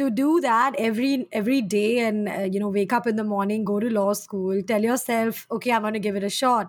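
Speaking at a fairly quick pace with hardly any pauses, a woman uses a normal speaking voice, fairly high in pitch and with fairly even intonation. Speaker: podcast host. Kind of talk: casual interview chat. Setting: at home, remote recording during lockdown.

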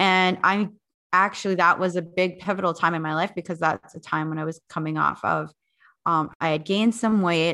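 Against a quiet background, a woman with an Upper Midwest accent talks at a fairly quick pace, her bright, sharp voice fairly low in pitch with ordinary pitch variation. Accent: Upper Midwest American. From North Dakota. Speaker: fitness instructor and podcast producer. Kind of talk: casual interview chat.

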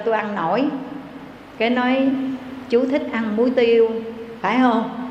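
Noticeable background noise accompanies a woman with a fairly high pitch. She talks at a fairly slow pace with ordinary pitch variation. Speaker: Buddhist nun. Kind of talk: sermon. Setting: temple. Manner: formal.

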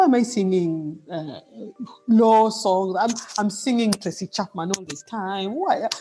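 Speaking at a fairly slow pace with a Kenyan coastal accent, a woman uses a medium pitch, a dark, mellow tone and lively intonation. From Kenya, Mombasa (coast). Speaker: musician. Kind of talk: casual interview.

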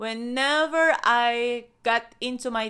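In a very clean recording with a silent background, a woman with a non-native accent speaks at a fairly high pitch in a bright, sharp tone. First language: not English. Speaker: wellness podcast host. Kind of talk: motivational talk with guided breathing. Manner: warm, effusive.

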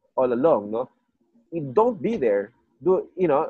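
A man's fairly high-pitched voice with vocal fry, a dark, mellow tone and a fairly slow pace. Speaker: podcast host. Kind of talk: casual chat. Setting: video call.

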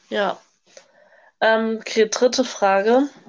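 This woman's voice sits at a fairly high pitch. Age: young. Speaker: au pair, podcast co-host. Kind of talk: casual chat. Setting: video call.

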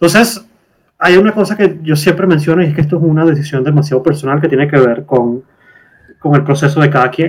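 Moving at a fairly quick pace, a man with an eastern Venezuelan accent speaks in a somewhat breathy voice at a fairly high pitch with ordinary pitch variation. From eastern Venezuela, Puerto La Cruz. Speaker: guest. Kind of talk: casual chat. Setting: video call. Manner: strong intonation inflections.

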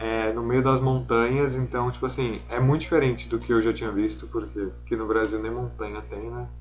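A man's fairly low voice at a moderate pace, with very wide pitch swings and hardly any pauses, plus audible room echo and music in the background. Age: 20s. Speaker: fashion model and student. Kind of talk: casual interview.

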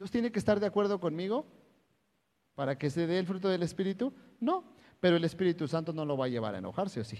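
A man with a high pitch talks very fast with lively intonation, long and frequent pauses, and big swings in loudness. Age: 30s. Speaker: pastor. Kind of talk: sermon. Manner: animated.

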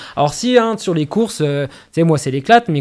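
A man speaks at a very fast pace with lively intonation. The recording is very clean, with a silent background. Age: 30s. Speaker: trail runner and running coach. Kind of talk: casual interview. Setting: recorded on location at an athletics club.

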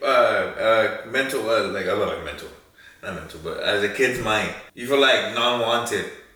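A man at a moderate pace, his loudness swinging widely, over noticeable background noise. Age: 20s. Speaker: host's brother. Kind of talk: casual chat.

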